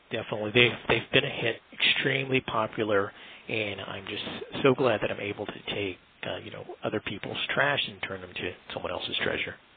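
A man with an American accent talks at a fairly quick pace, his pitch fairly low and its variation ordinary. His loudness swings widely, and there is noticeable background noise. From US, Washington, D.C. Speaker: sculptor and artist. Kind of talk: interview. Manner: halting, many fillers and repeats.

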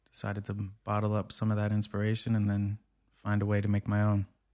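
With an American accent, a man speaks at a fairly quick pace in a fairly low voice with a dark, mellow tone, the sound dry and close with no echo on a very clean recording with a silent background. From Brookline, Massachusetts (Boston area). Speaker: rapper and clinical social worker. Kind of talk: interview.

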